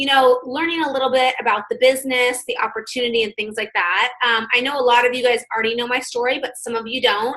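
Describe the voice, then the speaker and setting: Talking at a very fast pace with hardly any pauses, a woman with a high pitch keeps her intonation fairly even. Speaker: business owner and direct sales presenter. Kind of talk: business opportunity presentation.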